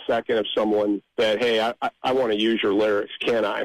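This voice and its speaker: No echo colors this dry, close sound. The speech moves at a moderate pace. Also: man. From Nebraska, Omaha. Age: 60s. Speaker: amateur songwriter. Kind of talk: interview. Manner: halting.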